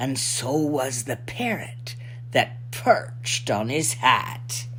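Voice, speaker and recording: A woman puts on a character voice with a very deep, low pitch. She speaks at a very slow pace over clear background noise. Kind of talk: children's picture book reading.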